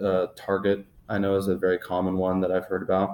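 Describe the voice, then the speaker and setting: Over a very clean recording with a silent background, a man speaks with a very deep, low pitch and a dark, mellow tone. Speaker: student giving a presentation. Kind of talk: class presentation. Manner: fast; mumbling, halting.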